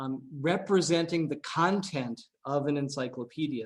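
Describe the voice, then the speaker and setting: Speaking at a moderate pace, a man uses a plain, everyday voice with a fairly high pitch and ordinary pitch variation. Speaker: AI researcher. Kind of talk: seminar talk. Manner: many filler words.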